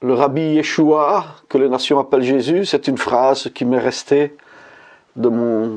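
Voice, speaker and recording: A man at a medium pitch and a very slow pace, with very even loudness and ordinary pitch variation. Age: 60s. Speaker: religious convert giving testimony. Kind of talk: testimony. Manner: halting, frequent hesitations.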